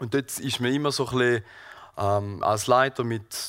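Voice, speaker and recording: This is a man speaking at a medium pitch. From Switzerland, Thurgau (Seerücken). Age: 20s. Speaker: gardener and lay preacher. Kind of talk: sermon. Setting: church hall with audience and livestream. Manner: halting, many fillers.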